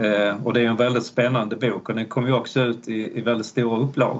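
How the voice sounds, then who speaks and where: With a medium pitch, a man talks at a moderate pace. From Malmö, Skåne, southern Sweden. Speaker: history professor. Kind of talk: interview. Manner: hesitant, many fillers.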